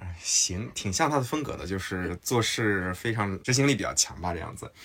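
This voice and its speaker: Here a man talks in a fairly low, somewhat breathy voice. His intonation is lively. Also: very clean recording, silent background. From Henan, China. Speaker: tech startup founder. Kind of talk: casual chat. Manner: halting.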